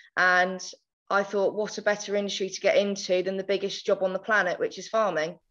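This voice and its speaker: In an Essex accent, the speaker moves at a fairly quick pace with monotone, flat intonation. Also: woman, medium pitch for a woman. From England, countryside. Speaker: agricultural marketing manager. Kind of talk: podcast interview.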